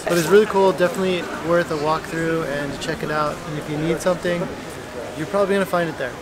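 At a fast pace, a man talks with fairly even intonation and fairly high pitch over clear background noise.

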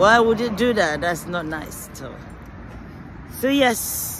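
A woman at a very slow pace with very wide pitch swings, noticeable background noise and a dry sound with no echo. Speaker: vlogger. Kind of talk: casual vlog chat. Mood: cheerful, laughing. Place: street. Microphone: phone near.

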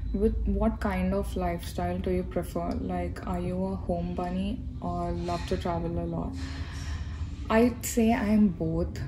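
A woman with an Indian accent speaks at a fairly slow pace. Her pitch is very deep and low, with noticeable background noise behind her. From India, Hyderabad. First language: Telugu. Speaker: YouTuber, graduate student. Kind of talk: casual Q&A vlog. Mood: relaxed, chatty. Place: hall. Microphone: phone near.

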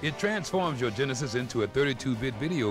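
Music plays in the background as a man speaks in a cheerful tone at a fairly quick pace, his pitch swinging very widely. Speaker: singer. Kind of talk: promotional video spokesman read.

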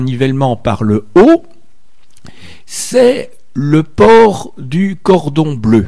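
Against a quiet background, a man with a dark, mellow tone speaks at a fairly high pitch with very wide pitch swings. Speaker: radio host. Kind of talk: radio interview. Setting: studio. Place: studio.

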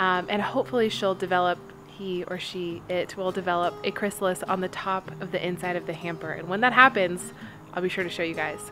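Over noticeable background noise, a woman talks at a fairly quick pace with fairly even intonation. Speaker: home vlogger. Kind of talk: casual vlog chat. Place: garden. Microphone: phone near.

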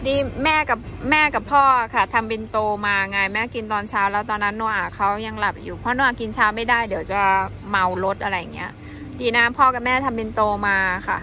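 A woman speaks with ordinary pitch variation in a dry sound with no echo, over light background noise. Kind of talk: casual vlog chat. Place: cafe. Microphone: phone near.

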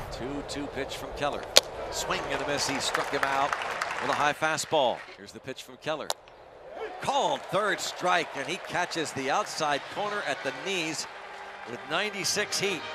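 The tone is excited and animated, with lively intonation. Noticeable background noise runs underneath. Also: man, fairly high pitch for a man, moderate pace, big swings in loudness. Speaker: baseball play-by-play announcer. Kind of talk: live sports commentary. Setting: ballpark broadcast highlights. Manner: animated, punchy play-by-play calls; excited, rising on big moments.

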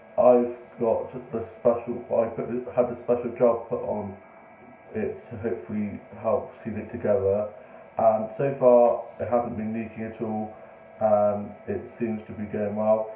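A man speaks at a fairly slow pace in a monotone, flat intonation. Audible room echo and light background noise are present. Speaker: vlogger. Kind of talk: casual vlog chat. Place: home room. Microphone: phone near.

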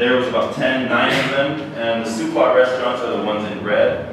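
With strong room echo and noticeable background noise, a man speaks at a moderate pace. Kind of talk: lecture. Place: hall.

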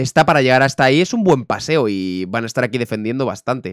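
Lively intonation marks this man's speech at a moderate pace. The background is quiet and the sound is dry with no echo. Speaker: streamer. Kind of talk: casual reaction commentary. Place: home room.

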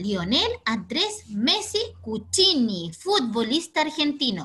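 A woman speaks in a raised, projected voice with a bright, sharp tone. Her pitch is high and swings very widely. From Chile. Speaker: teacher. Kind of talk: online class for children. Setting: video call. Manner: energetic. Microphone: video call.

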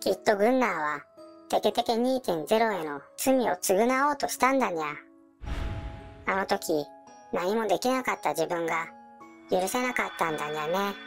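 In a put-on character voice, a female-sounding speaker at a medium pitch for a woman leaves long, frequent pauses while clear music plays in the background. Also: moderate pace. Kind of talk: cute mascot character voice. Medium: audio drama. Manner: cutesy, adds a meow sound to sentence ends.

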